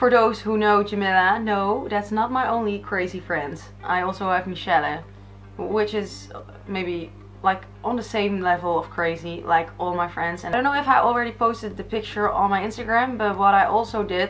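Over faint background music, a woman speaks at a moderate pace with ordinary pitch variation. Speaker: beauty vlogger. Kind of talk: casual tutorial chat. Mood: cheerful, laughing. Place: home room. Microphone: camera far.

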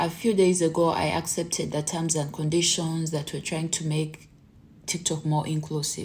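A woman's very deep, low voice, somewhat breathy, in a monotone, flat intonation. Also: moderate pace. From Uganda. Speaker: content creator. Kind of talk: vlog monologue. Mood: earnest, mildly frustrated. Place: home room. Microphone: phone near.

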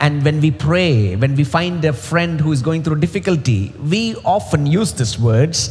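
A man's pitch swings very widely as he talks at a moderate pace. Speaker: preacher. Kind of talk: sermon. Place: stage. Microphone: headset.

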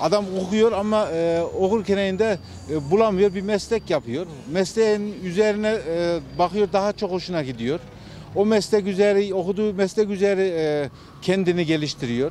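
Amid light background noise, a man with a high pitch and dark, mellow tone speaks at a moderate pace with ordinary pitch variation, in a dry sound with no echo. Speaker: passerby interviewee. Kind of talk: street interview answer. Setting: outdoors. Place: street.

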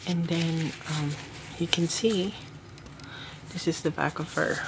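Someone speaks at a very slow pace over noticeable background noise. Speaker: doll collector reviewer. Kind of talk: product review. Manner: halting. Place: home room.

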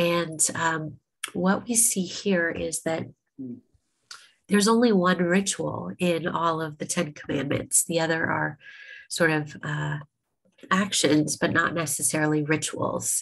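Speaking slowly at a low pitch, a woman keeps a fairly even intonation with vocal fry in her voice.

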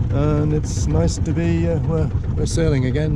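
Amid loud background noise, a man talks at a moderate pace, the sound dry with no echo. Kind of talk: casual vlog narration. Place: boat.

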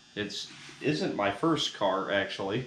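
A man's voice carries audible room echo, with light background noise present. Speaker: car hobbyist vlogger. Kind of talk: casual vlog chat. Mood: relaxed, wry humor. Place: garage. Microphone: camera far.

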